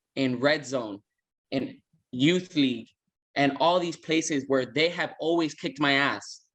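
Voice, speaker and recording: Loud and bright with a sharp tone, a man speaks at a fairly slow pace with ordinary pitch variation. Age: 30s. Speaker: flag football player. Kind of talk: casual interview.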